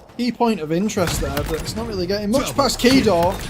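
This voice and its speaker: At a moderate pace, a man talks with very wide pitch swings through noticeable background noise and audible room echo. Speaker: esports caster. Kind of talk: live commentary.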